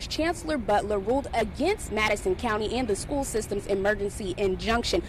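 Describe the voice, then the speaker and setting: Against noticeable background noise, a woman with a fairly high pitch talks at a fairly quick pace with very even loudness. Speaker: TV news reporter. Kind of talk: on-camera standups and voiceover news clips.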